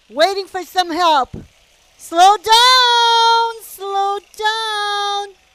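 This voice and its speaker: A woman's extremely high voice, bright and sharp in tone, very slow in pace, with ordinary pitch variation. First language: French. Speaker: race announcer. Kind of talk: live commentary. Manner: animated.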